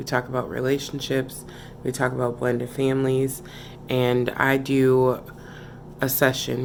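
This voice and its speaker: Noticeable background noise sits under a woman's very deep, low voice. She speaks in a monotone, flat intonation. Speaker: relationship vlogger. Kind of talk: casual vlog chat. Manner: talking low.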